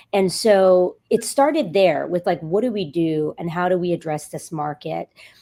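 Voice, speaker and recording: A woman with an American accent speaks at a moderate pace in a dark, mellow tone, fairly low in pitch with ordinary pitch variation. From New York. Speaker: healthcare executive. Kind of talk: podcast interview.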